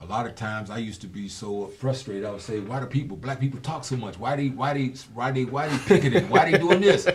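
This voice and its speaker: Over noticeable background noise, a man of medium pitch speaks at a very fast pace with hardly any pauses, lively intonation and big swings in loudness. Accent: American. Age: 60s. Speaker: former police officer. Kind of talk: casual chat.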